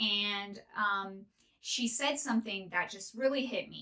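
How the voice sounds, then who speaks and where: A woman talks in a normal speaking voice at a medium pitch, her pace fairly slow and her intonation fairly even. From northern California. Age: 30s. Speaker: podcast host. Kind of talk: casual monologue.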